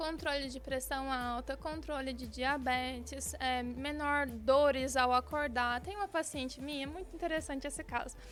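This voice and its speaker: A woman with a Mato Grosso accent speaks at a high pitch and a moderate pace, with hardly any pauses. There is noticeable background noise. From Brazil, Mato Grosso. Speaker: bariatric surgeon. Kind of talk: radio interview. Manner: animated.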